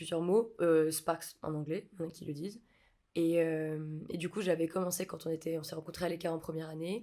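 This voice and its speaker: Fairly low in pitch, a woman talks at a fairly quick pace with a dark, mellow tone and monotone, flat intonation. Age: 20s. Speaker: film set electrician. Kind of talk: podcast interview. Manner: hesitant, many fillers.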